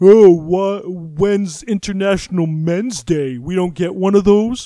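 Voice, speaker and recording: A man puts on a whiny character voice at a high pitch. He speaks at a fairly slow pace. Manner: whiny, mocking.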